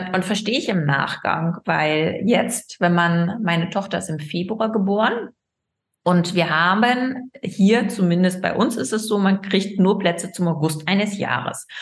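Somewhat breathy female voice at a fairly slow pace. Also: medium pitch for a woman, ordinary pitch variation. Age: 30s. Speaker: gynecologist, fertility doctor. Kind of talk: casual interview.

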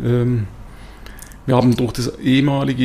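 A man's voice over noticeable background noise. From Swabia, southern Germany (near Tuttlingen). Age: 50s. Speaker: company executive. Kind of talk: interview. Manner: hesitant with many fillers.

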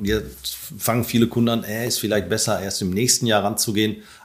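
Talking very fast in a fairly low pitch, a man is heard over noticeable background noise. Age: 50s. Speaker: solar company owner. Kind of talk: interview.

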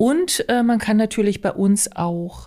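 A woman's dark, mellow, somewhat breathy voice with lively intonation. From Altmark, northern Saxony-Anhalt. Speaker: riding stable owner. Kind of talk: podcast interview.

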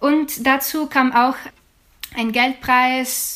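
A woman talks with a Ukrainian accent. Her voice sits at a high pitch. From Ukraine, Odessa region. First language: Ukrainian (speaking German). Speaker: jazz singer and student. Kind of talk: interview. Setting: video call.

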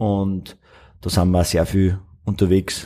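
A man's dark, mellow tone comes with fairly even intonation. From Upper Austria. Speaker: spirits distiller. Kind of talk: interview. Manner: halting, with many fillers.

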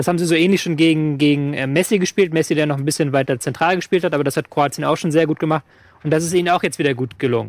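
Very fast speech from a man with a fairly high voice and fairly even intonation, on a very clean recording with a silent background. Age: 30s. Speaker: football podcast co-host. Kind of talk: casual chat.

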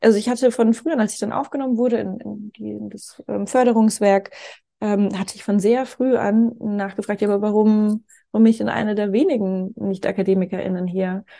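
A woman with a fairly high pitch and a dark, mellow tone speaks at a moderate pace, her intonation fairly even but her loudness swinging widely. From Franconia, Germany (small village). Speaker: co-founder of a foreign policy organisation, scholarship alumna. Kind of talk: interview. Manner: many filler sounds (ähm).

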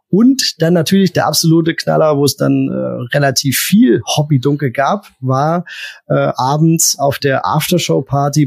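A man's somewhat breathy, fairly high voice at a fairly slow pace, with ordinary pitch variation. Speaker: beer podcast co-host. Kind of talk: casual chat.

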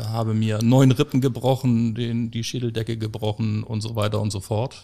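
The recording is very clean, with a silent background. A man speaks in a dark, mellow tone with flat, monotone intonation. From Hamburg, northern Germany. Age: 40s. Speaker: funeral director. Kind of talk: interview conversation.

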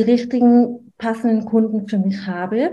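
Very slow and somewhat breathy, a woman's fairly high voice has a dark, mellow tone and fairly even intonation. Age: 30s. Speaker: newborn photographer and coach. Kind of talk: interview. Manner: hesitant, filler-heavy.

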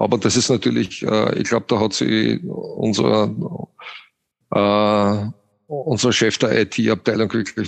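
A man speaks with an Austrian accent and vocal fry. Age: 50s. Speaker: franchise company CEO. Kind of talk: interview.

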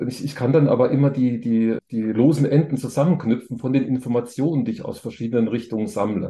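At a fairly quick pace and with hardly any pauses, a man with a medium pitch, ordinary pitch variation, a dark, mellow tone and a somewhat breathy quality keeps talking. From Thuringia, eastern Germany. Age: 50s. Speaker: business angel investor. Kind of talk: podcast interview.

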